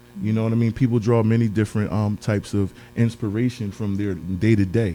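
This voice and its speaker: Over music in the background, a man with a fairly low pitch speaks at a fairly quick pace with fairly even intonation. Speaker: podcast host. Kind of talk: interview. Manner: hesitant, many fillers; expressive.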